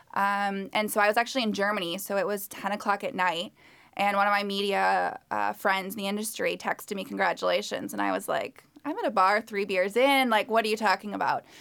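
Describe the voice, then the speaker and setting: Here a woman talks at a fairly quick pace. She hardly pauses at all. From Connecticut. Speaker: marketing manager. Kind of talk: casual interview. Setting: studio.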